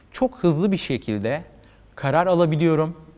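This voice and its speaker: Speaking at a moderate pace, a man with a fairly high pitch uses lively intonation. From Turkey, Izmir; Turkey. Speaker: marketing manager; interview guest. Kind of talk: interview. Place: home room. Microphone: lapel.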